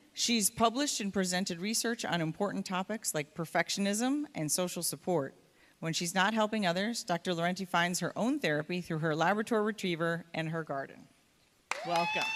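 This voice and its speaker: A woman with a normal speaking voice talks at a fairly quick pace in a medium pitch with ordinary pitch variation, on a very clean recording with a silent background. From upstate New York. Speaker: event presenter introducing speakers. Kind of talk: speaker introduction. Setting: stage with audience.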